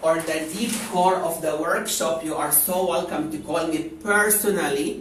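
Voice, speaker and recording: Noticeable noise sits behind the voice. The delivery is very slow. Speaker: spiritual wellness teacher. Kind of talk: lecture. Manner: animated.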